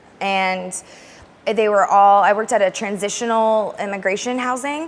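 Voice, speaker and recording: A woman speaks at medium pitch in an American accent. Her pitch varies in an ordinary way. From US West (Alaska and Arizona). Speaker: language teacher. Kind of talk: interview. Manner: fast; loud.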